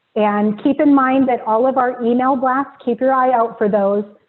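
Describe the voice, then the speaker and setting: Here a woman is speaking. She keeps a monotone, flat intonation. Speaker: early learning coalition staff leading provider meeting. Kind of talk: webinar presentation. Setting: video webinar. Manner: fast; frequent filler ums.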